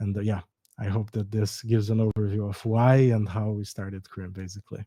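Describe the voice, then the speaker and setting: A dark, mellow tone with a Brazilian accent, fairly quick pace and monotone, flat intonation, in a dry, close sound with no echo. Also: man, fairly low pitch for a man. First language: Portuguese. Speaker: startup co-founder. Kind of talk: podcast interview. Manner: hesitant, with false starts.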